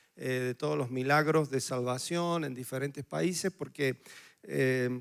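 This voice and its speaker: A man with a strong Córdoba Argentine accent, fairly even intonation and a moderate pace, on a very clean recording with a silent background. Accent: Cordoba Argentine accent, still strong. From Argentina, Córdoba. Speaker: missionary pastor. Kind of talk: sermon.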